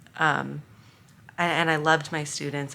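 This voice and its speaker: A woman speaks at a fairly slow pace, her very deep, low voice carrying a bright, sharp tone. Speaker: former teacher, inclusion advocate. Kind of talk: casual vlog talk to camera. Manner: monotone.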